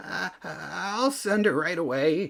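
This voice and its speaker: Putting on a character voice, a man speaks high for a man in a nervous tone with lively intonation. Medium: read story. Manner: stammering, nervous.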